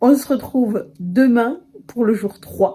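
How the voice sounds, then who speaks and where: Somewhat breathy, a woman's voice carries a dark, mellow tone with ordinary pitch variation. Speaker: writing vlogger. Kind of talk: vlog monologue. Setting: at home with window open. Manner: whispering.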